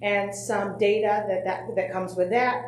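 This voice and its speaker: A woman, with audible room echo. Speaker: special education committee member. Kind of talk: presentation. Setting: school board meeting. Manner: loud.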